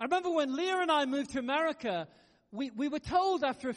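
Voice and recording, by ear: A man speaks at a moderate pace. His pitch variation is ordinary.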